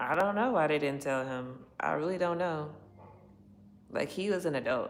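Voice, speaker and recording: Audible room echo surrounds a woman whose very deep, low pitch carries lively intonation at a moderate pace. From Chicago. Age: 30s. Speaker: livestreamer. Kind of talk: casual livestream chat.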